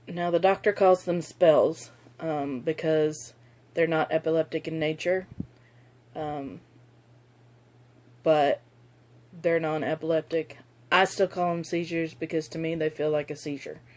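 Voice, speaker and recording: A woman with a very deep, low voice speaks at a fairly slow pace with fairly even intonation. She leaves long, frequent pauses. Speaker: video blogger with chronic illness. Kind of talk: personal testimony vlog. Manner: slurred speech; halting, many fillers.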